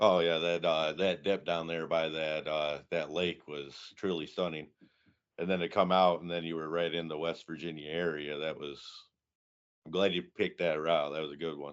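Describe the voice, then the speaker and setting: In a Michigan accent, a man speaks with a very deep, low pitch. His intonation is monotone and flat, at a moderate pace. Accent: Midwestern American (Michigan). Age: 30s. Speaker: motorcycle build competition founder. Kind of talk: casual interview.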